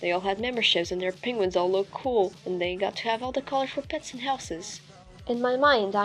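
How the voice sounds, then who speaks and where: Over music in the background, a woman speaks very fast at a medium pitch, with ordinary pitch variation. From Portugal. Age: 20s. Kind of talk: storytime commentary narration.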